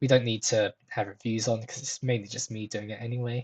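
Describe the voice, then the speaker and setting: A somewhat breathy man speaks at a medium pitch, the sound dry and close with no echo. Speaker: software developer YouTuber. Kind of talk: screen-share coding tutorial. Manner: fast; casual, many fillers.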